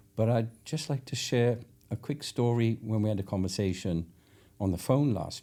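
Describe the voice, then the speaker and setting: A man's fairly low, dark, mellow voice in a Welsh accent at a moderate pace. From Wales. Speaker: podcast host. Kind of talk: podcast interview.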